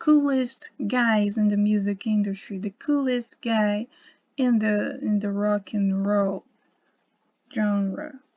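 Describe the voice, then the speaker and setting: A woman talks at a fairly slow pace with a fairly high pitch, ordinary pitch variation and a dark, mellow tone. Her voice is somewhat breathy, and the recording is very clean with a silent background. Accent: Portuguese. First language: Portuguese. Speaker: YouTuber on symbolism and gematria. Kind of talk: casual video monologue. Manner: halting, with many fillers and repetitions.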